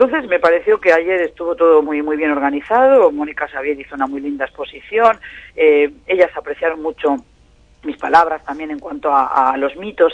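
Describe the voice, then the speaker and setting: Lively intonation marks this man's fairly high-pitched voice, which shows big swings in loudness. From Spain. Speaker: professor and Middle East analyst, translator of Arabic. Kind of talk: radio interview. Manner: fast.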